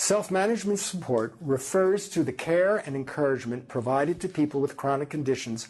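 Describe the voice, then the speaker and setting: A man talks at a fairly quick pace with lively intonation. His pitch sits fairly high. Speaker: research professor. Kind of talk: lecture. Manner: halting.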